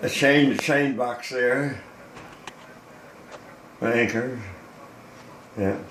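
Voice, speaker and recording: Over noticeable background noise, a man of medium pitch talks at a very slow pace with fairly even intonation and long, frequent pauses. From Newfoundland, Canada. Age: 80s+. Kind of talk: casual talk showing a model boat. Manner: alert.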